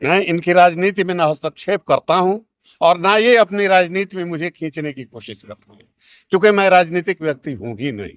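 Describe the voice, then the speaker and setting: The man's pitch is high, and his loudness swings a lot. The sound is dry and close, with no echo. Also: ordinary pitch variation, moderate pace, very clean recording, silent background. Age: 70s. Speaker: school teacher. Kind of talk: interview.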